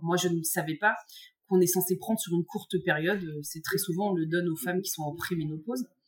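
A fairly low-pitched woman's voice at a fairly quick pace with ordinary pitch variation. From central France, Morvan countryside. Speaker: grappling world champion and university teacher. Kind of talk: casual interview. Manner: halting, many repetitions and fillers.

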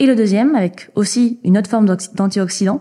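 With a dark, mellow tone, a woman speaks in a somewhat breathy voice using fairly even intonation. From French Basque Country. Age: 20s. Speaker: entrepreneur. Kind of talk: interview.

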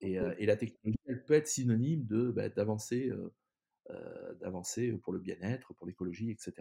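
Somewhat breathy and dark, mellow in tone, a man speaks at medium pitch and a fairly slow pace in a dry, close sound with no echo. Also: ordinary pitch variation. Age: 50s. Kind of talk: interview. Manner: halting, many repetitions.

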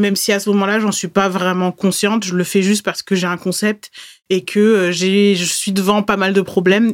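A woman at medium pitch and moderate pace, with monotone, flat intonation. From France, Bordeaux. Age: 30s. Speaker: podcast host, Instagram coach. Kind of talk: solo podcast monologue.

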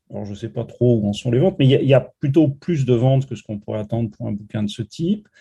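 A man's voice sits at a medium pitch, with a dark, mellow tone that is somewhat breathy. His intonation is lively. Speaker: political science professor. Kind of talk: interview. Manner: frank, direct.

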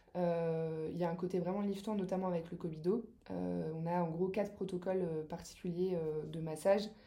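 A woman's fairly low, dark, mellow voice at a moderate pace, with monotone, flat intonation and audible room echo. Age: 30s. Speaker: massage therapist. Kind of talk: casual interview.

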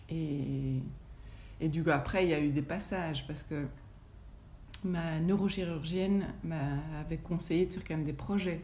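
A woman speaks with a very deep, low pitch and a dark, mellow tone, using vocal fry and fairly even intonation, leaving long, frequent pauses in a room with audible echo. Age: 40s. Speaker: yoga teacher. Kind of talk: testimony. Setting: at her home.

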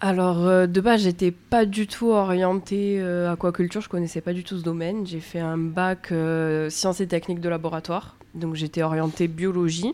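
Speaking at a moderate pace, a woman uses a fairly low pitch and monotone, flat intonation. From Bouches-du-Rhône, southern France. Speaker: aquaculture apprentice. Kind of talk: interview.

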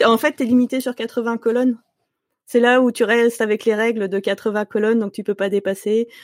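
A woman's fairly high voice with monotone, flat intonation and a moderate pace, in a dry, close sound with no echo and a very clean recording over a silent background. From Paris region, France. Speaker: software developer. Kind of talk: casual interview.

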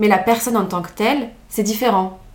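Speaking with a medium pitch and ordinary pitch variation, a woman keeps a moderate pace amid audible room echo. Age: 20s. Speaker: law student. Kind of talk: casual chat.

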